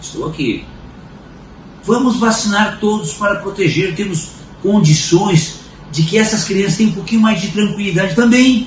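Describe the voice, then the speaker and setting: A man's high voice at a moderate pace with ordinary pitch variation, long, frequent pauses, audible room echo and noticeable background noise. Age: 60s. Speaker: commentator. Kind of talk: opinion commentary.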